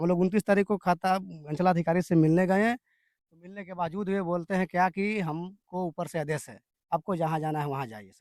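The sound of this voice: A man's high-pitched, slightly mellow voice at a moderate pace, with ordinary pitch variation and a dry, close sound with no echo.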